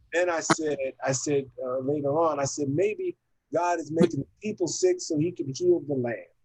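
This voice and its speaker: A man's fairly high-pitched voice carries along at a moderate pace. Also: fairly even intonation. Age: 60s. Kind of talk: casual chat. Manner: halting.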